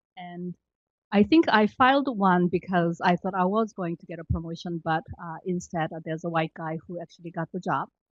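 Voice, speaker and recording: A woman talks at a fairly quick pace. Her voice sits fairly low in pitch. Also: ordinary pitch variation. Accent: Korean. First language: Korean. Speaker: government employee. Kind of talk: panel discussion. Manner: halting, many fillers.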